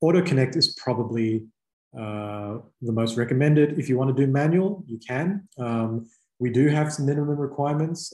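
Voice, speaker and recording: Dark and mellow in tone, this somewhat breathy voice carries an Australian accent at a fairly quick pace. Audible room echo is present, though the background stays quiet. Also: man. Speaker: startup company representative presenting to clients; presenter. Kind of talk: webinar presentation. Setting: online video presentation. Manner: casual with many fillers. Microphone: video call.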